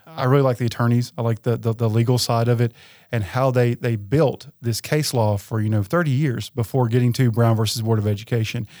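A man with a Tennessee accent speaks at a fairly quick pace in a dark, mellow tone, with fairly even intonation and very even loudness. The recording is very clean, with a silent background and a dry, close sound with no echo. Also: medium pitch for a man. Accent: Southern US (Tennessee). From West Tennessee. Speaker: university administrator and historian. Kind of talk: interview.

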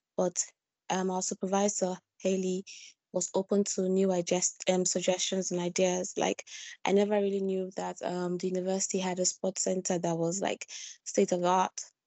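Her intonation monotone and flat, a woman talks at a moderate pace and medium pitch. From Nigeria. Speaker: postgraduate student. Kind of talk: interview.

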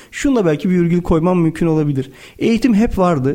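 The voice has a dark, mellow tone and lively intonation at a fairly quick pace. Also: man. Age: 40s. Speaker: company executive. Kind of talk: interview.

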